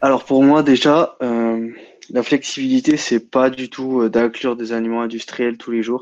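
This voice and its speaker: Against a quiet background, a man speaks fairly slowly at a medium pitch in a monotone, flat intonation. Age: 20s. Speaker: bodybuilding and nutrition enthusiast. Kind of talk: casual chat. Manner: halting.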